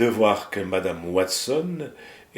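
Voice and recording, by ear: A passage is read aloud. The voice sounds natural.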